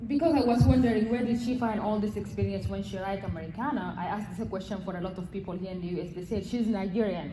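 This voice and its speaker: Speaking very fast with hardly any pauses, a woman at medium pitch shows ordinary pitch variation, with audible room echo and noticeable background noise. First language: not English. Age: young. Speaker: audience member. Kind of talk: audience question. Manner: halting.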